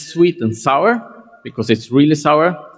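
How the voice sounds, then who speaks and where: With a Scandinavian accent, a man speaks at a fairly high pitch with ordinary pitch variation. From Scandinavia (Sweden/Denmark). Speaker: tech company CEO. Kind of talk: conference keynote.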